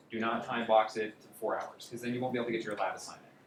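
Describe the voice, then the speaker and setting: A man's voice carries audible room echo. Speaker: coding bootcamp instructor. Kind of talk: lecture. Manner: fast.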